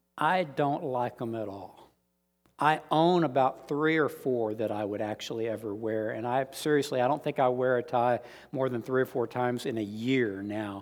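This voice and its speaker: A man with a plain, everyday voice and an American accent talks at a moderate pace with medium pitch and ordinary pitch variation, on a very clean recording with a silent background. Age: 50s. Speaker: Bible teacher and deacon. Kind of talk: lecture.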